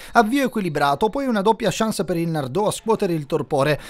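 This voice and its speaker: Talking at a fairly quick pace, a man moves through very wide pitch swings. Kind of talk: football match report voiceover. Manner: fast, dense, rapid-fire delivery of play-by-play; matter-of-fact, informative tone.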